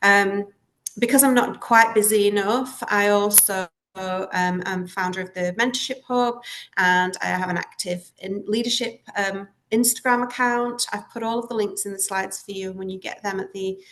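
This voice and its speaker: A voice with a Lancashire accent moves at a moderate pace with fairly even intonation and big swings in loudness. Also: woman, medium pitch for a woman. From northern England, Lancashire. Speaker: school leader, head of primary. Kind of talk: webinar presentation.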